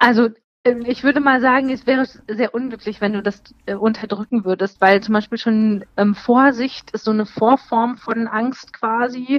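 Fairly high-pitched woman's voice at a moderate pace, with fairly even intonation. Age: 30s. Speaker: psychotherapist. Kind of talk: interview. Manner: hesitant, many filler sounds.

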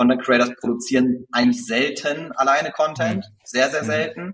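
This man's medium-pitched voice keeps a fairly even intonation throughout. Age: 20s. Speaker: marketing agency founder. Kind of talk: interview conversation.

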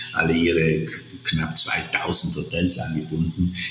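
There is noticeable background noise and audible room echo as a man speaks at a very slow pace. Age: 60s. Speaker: hotel entrepreneur. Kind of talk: interview. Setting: remote call from Sardinia. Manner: halting, many fillers.

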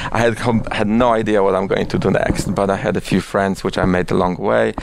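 Speaking very fast with a Polish accent, a man with a fairly low pitch is heard over noticeable background noise. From Poland. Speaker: managing director of a production company. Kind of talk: interview. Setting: office.

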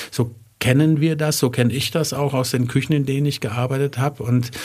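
At a moderate pace, a man speaks in a somewhat breathy voice with monotone, flat intonation. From Germany, Wertheim (northern Baden-Württemberg). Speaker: chef and catering business owner. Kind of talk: interview. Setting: studio.

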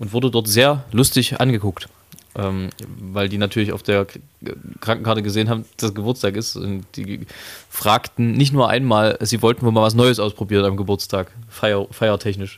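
In a plain, everyday voice, a man talks at a moderate pace, his fairly low pitch held in fairly even intonation. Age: 20s. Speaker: podcast co-host, singer. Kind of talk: casual chat.

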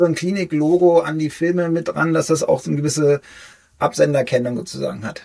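A man's dark, mellow tone at a fairly quick pace. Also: fairly high pitch for a man, ordinary pitch variation. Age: 40s. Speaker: cardiologist and health video creator. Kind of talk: interview.

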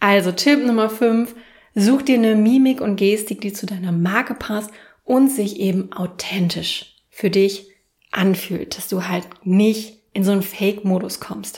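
Fairly slow pace, somewhat breathy, with fairly even intonation. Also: woman, medium pitch for a woman. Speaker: podcast host and self-marketing coach. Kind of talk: solo podcast tutorial.

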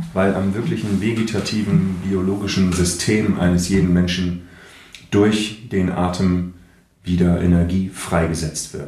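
A man talks fairly slowly in a very deep, low, monotone voice with flat intonation. Audible room echo and noticeable background noise surround him. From northern Germany, Kiel. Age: 40s. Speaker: voice actor and speech coach, breathwork therapist. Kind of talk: casual interview chat.

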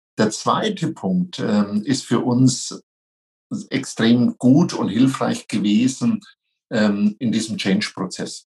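A man's medium-pitched voice with a Franconian accent, ordinary pitch variation and a very slow pace. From Franconia, near Nuremberg. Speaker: franchise company executive. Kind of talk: interview.

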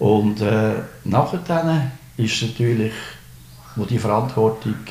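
Delivered at a very slow pace with an Aargau accent and ordinary pitch variation, the speech carries audible room echo. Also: man. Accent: Swiss German, Fricktal dialect. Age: 60s. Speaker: retired municipal clerk. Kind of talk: interview. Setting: indoors overlooking a pond. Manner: halting, many fillers.

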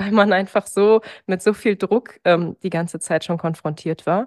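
A woman's voice in a dry, close recording with no echo and a quiet background. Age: 20s. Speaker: dentist. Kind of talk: interview.

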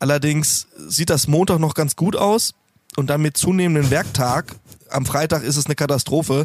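A man uses a normal speaking voice at a fairly high pitch and moderate pace, his loudness very even and the sound dry and close with no echo. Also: ordinary pitch variation. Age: 30s. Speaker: heating installer and community founder. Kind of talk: casual interview.

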